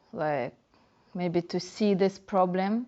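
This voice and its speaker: In a Russian accent, the speaker goes at a fairly slow pace with ordinary pitch variation. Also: woman. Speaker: dancehall dancer and blogger. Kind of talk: interview.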